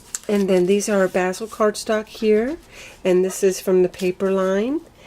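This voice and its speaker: A woman speaks at a moderate pace and a medium pitch. Noticeable background noise runs under her voice. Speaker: craft video creator. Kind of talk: tutorial. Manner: casual, chatty.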